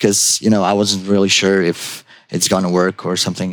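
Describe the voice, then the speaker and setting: This is a man with a Croatian accent. His voice sits fairly low. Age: 40s. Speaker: junior web developer. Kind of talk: casual interview.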